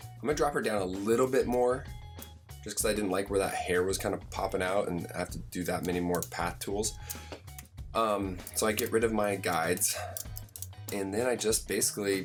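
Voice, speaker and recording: A man's fairly low voice at a moderate pace, with ordinary pitch variation and music in the background. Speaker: graphic design tutorial host. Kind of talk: screen-recorded software tutorial narration. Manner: casual, conversational.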